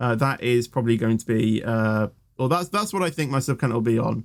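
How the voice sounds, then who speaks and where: A man with a British accent speaks at a very fast pace on a very clean recording with a silent background. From Britain. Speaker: YouTuber, gaming content creator. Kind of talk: Q&A video answering viewer questions. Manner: casual, many fillers and hesitations.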